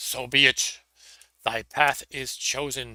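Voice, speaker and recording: A man puts on a raspy character voice, speaking at a fairly slow pace. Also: dry, close sound with no echo. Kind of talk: archaic.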